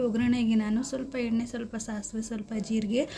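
A woman's fairly high-pitched voice in a monotone, flat intonation, over noticeable background noise. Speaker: cooking vlogger. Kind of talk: cooking tutorial vlog narration.

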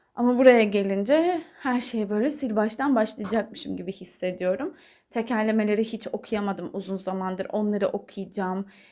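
With a dark, mellow tone, a woman talks at a moderate pace in a fairly high pitch with ordinary pitch variation. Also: very clean recording, silent background. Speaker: audiobook narrator and book vlogger. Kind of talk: casual vlog talk to camera. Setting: talking to camera. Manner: more filler sounds than usual.

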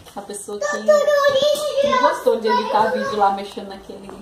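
Audible room echo and noticeable background noise around a female speaker's voice. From Paraná, Brazil. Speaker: vlogger, mother. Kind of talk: casual vlog chat.

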